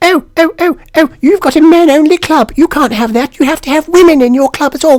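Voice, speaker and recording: A squeaky, high-pitched put-on character voice at a fairly quick pace. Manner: mocking, whiny.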